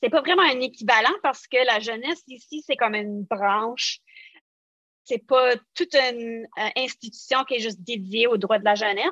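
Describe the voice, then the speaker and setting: A woman with an Acadian accent speaks at a fairly high pitch and moderate pace, in a bright, sharp tone with ordinary pitch variation. The sound is dry and close with no echo, over a quiet background. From New Brunswick, Acadia (Canada). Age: 40s. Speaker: social work researcher, former foster youth. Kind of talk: podcast interview.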